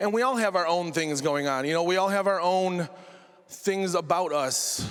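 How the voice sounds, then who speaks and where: A man with a Western New York accent speaks in a high voice, and his pitch rises and falls in an ordinary way. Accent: Western New York (Inland North) American. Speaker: correctional officer and stand-up comedian. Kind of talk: TEDx talk with comedic delivery. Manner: casual, sarcastic, conversational.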